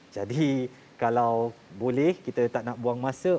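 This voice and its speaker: Light background noise accompanies a man at medium pitch with a dark, mellow tone and ordinary pitch variation. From Malaysia. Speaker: TV talk show host. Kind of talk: scripted narration; studio talk show. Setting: TV studio. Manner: formal. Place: studio. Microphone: lapel.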